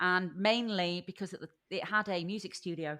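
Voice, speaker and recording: A woman with a northern English accent speaks at medium pitch in a bright, sharp tone. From Lincolnshire, England. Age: 50s. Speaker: podcast guest. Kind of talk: casual interview.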